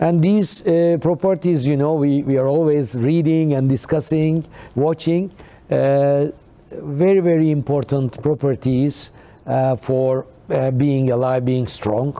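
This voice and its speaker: A man's fairly high-pitched voice with a dark, mellow tone, very even loudness, ordinary pitch variation and a fairly slow pace. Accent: Turkish. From Turkey. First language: Turkish. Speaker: company CEO. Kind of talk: TV talk show interview. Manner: halting.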